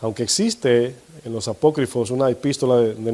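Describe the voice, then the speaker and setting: Speaking with fairly even intonation, a man has a medium pitch and a dark, mellow tone. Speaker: pastor. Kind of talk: sermon. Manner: fast; occasional stumbling over words.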